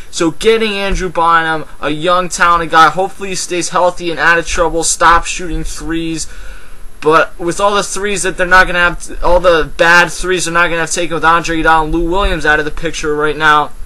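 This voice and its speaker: A high-pitched man with an American accent at a fairly quick pace, over noticeable background noise. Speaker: sports commentator vlogger. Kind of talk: casual sports commentary vlog. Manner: fast; animated.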